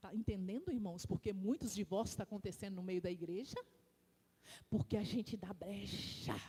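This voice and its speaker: A woman's somewhat breathy voice with a dark, mellow tone, medium pitch and ordinary pitch variation. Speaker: deaconess preaching in church. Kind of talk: sermon. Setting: church. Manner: animated; slow, deliberate.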